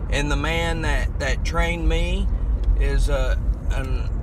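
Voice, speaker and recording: A man is heard with noticeable background noise. The sound is dry with no echo. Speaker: preacher or minister. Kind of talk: casual vlog sermon-like talk. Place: car. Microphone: phone near.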